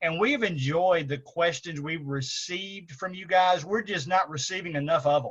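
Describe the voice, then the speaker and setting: Amid noticeable background noise, a man with a high pitch talks at a moderate pace with ordinary pitch variation, big swings in loudness and hardly any pauses. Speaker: church show co-host. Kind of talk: casual chat. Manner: halting.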